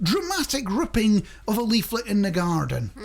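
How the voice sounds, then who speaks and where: A man with a Scottish accent over noticeable background noise. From Scotland. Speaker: radio host. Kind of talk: casual radio chat.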